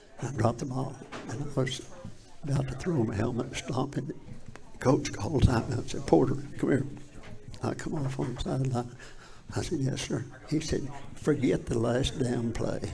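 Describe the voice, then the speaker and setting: Speaking with an Appalachian accent at a medium pitch and moderate pace, a man keeps a fairly even intonation and leaves long, frequent pauses amid audible room echo. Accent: Southern US, Appalachian. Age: 80s+. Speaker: former high school football player. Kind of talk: casual interview. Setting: live show in a public venue.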